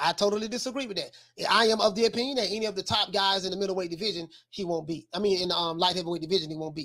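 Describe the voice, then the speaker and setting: In a bright, sharp tone, a man talks at a very fast pace in a raised, projected voice with ordinary pitch variation. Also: quiet background. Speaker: boxing show host. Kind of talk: commentary. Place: home room. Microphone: studio mic.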